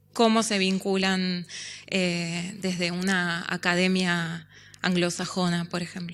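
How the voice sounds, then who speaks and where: A woman at a very slow pace and medium pitch, flat and monotone, on a very clean recording with a silent background. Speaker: panel moderator, film scholar. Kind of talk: academic panel moderation. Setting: symposium panel with audience. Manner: hesitant, many fillers.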